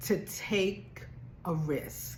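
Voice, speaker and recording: A woman with an American accent speaks with audible room echo. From Baltimore, US. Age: 60s. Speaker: travel vlogger and nurse. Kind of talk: motivational vlog talk. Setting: at home.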